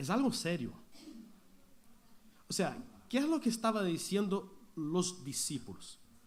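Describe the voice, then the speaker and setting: A man at a high pitch with very wide pitch swings, speaking at a fairly slow pace amid audible room echo. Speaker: pastor. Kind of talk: sermon.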